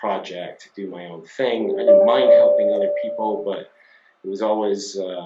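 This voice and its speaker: At a moderate pace, a man speaks with a slight Scottish accent and ordinary pitch variation. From Scotland. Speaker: company CEO. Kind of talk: interview. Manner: hesitant, many fillers.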